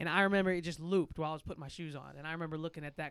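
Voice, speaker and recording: In a very clean recording with a silent background, a man with a St. Louis accent speaks at a very fast pace, his fairly high pitch following a fairly even intonation. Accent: St. Louis Midwestern American. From St. Louis, Missouri. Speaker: music artist and producer. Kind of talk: casual chat.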